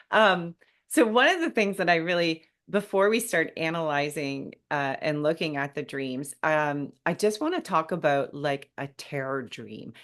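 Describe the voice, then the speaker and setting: A woman speaks at a fairly slow pace with a very deep, low pitch. Her intonation is lively, and the background is quiet. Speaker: grief podcast host and speaker. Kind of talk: casual interview chat.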